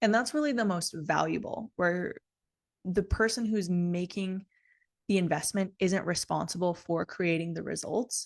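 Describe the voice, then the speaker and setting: There's a quiet background as a woman with a medium pitch speaks in an ordinary speaking voice at a moderate pace, with ordinary pitch variation. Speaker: business coach. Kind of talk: live online business training. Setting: livestream.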